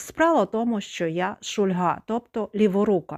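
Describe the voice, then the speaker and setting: In a very clean recording with a silent background and a dry, close sound with no echo, a woman with an unremarkable speaking voice talks at a fairly slow pace in a medium pitch. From Ukraine, Zakarpattia (Khust). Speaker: video blogger. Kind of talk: personal testimony monologue.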